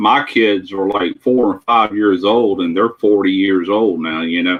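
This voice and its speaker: This is a normal speaking voice, moving at a fairly slow pace with fairly even intonation. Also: man, fairly low pitch for a man. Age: 60s. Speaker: livestream participant. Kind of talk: casual chat.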